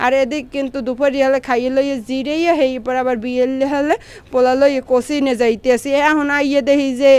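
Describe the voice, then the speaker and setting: A woman speaks with a Barishal accent. Her high pitch stays in a monotone, flat intonation. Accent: Barishal Bengali dialect. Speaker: vlogger and mother. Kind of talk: casual vlog narration.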